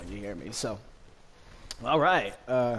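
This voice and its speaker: A man's medium-pitched voice with an American accent and audible room echo. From Los Angeles County, Southern California, US. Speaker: gaming streamer. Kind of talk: gameplay commentary. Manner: casual, many fillers.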